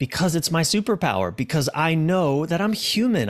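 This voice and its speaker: A man's pitch swings very widely in this very clean recording with a silent background. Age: 40s. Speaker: author and relationship coach. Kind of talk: interview conversation. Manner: halting, frequent repetitions.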